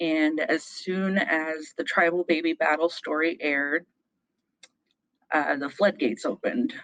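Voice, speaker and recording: At a moderate pace, a woman with an American accent speaks at a fairly low pitch with ordinary pitch variation, in a dry, close sound with no echo. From Meskwaki tribe, Iowa, US. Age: 30s. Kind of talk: live personal storytelling on stage.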